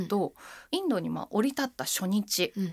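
Breathiness is somewhat present in the voice. The pitch rises and falls over a very wide range. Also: woman, very clean recording, silent background. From Japan, Machida, Tokyo. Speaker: henna artist, essayist and radio navigator. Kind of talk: casual interview chat.

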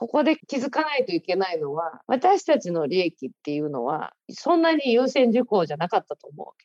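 The sound is dry and close with no echo as a woman speaks at a fairly high pitch with very wide pitch swings and big swings in loudness. Her pace is fairly quick, with hardly any pauses. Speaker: writer. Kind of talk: interview talk.

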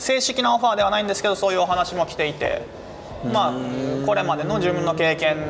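With lively intonation and a high voice, a man speaks at a fairly quick pace over noticeable background noise. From Japan, Osaka. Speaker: humanitarian aid worker and YouTuber. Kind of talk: interview. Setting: cafe.

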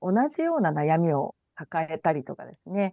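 A woman's dark, mellow voice, recorded dry and close with no echo, moves through very wide pitch swings at a moderate pace. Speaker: IT company CEO. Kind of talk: radio interview.

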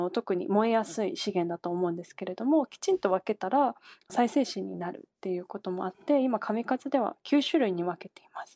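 A woman talks at a fairly quick pace with a fairly high pitch and a dark, mellow tone. Her pitch swings very widely and her loudness varies greatly, with a dry, close sound and no echo. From Japan, Kanagawa. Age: 20s. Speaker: environmental company CEO. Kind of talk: radio interview. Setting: remote call.

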